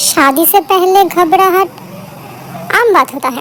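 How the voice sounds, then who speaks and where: A woman uses a put-on character voice at an extremely high pitch, speaking at a fairly slow pace over clear background noise. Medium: read story. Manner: calm, smiling.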